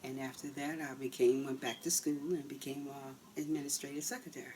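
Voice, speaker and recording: A woman with an American accent and a very deep, low pitch, talking at a fairly quick pace with fairly even intonation over noticeable background noise. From Baltimore County, Maryland. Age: 60s. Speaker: interviewee. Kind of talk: oral history interview.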